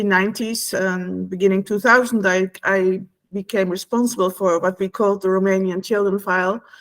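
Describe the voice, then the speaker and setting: In a Dutch accent, a woman speaks at a medium pitch with monotone, flat intonation. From Netherlands. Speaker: former EU official and whistleblower. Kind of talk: online talk. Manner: halting, many fillers.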